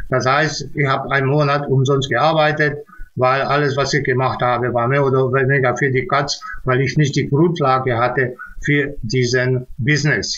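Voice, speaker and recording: A man speaks in a fairly high voice with monotone, flat intonation. His loudness stays very even. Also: moderate pace. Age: 60s. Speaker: music producer and sound engineer. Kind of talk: testimonial with screen-share tutorial; testimonial talk. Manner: halting, many filler sounds. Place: home room. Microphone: webcam.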